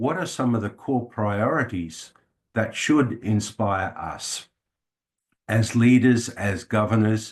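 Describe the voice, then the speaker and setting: With an Australian accent, the speaker talks at a very slow pace over a quiet background. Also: man. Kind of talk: talk to an audience. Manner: hesitant, many fillers.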